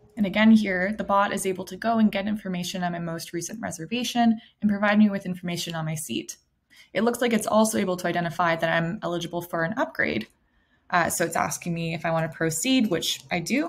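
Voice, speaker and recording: Her voice comes across as somewhat breathy. The woman rushes along at a very fast pace. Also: ordinary pitch variation. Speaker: product demonstrator. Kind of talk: tutorial. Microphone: webcam.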